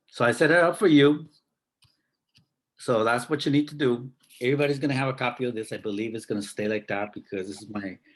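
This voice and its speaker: Ordinary pitch variation marks speech delivered at a fairly quick pace. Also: man, long, frequent pauses. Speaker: math teacher. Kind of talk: online class lesson. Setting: video call.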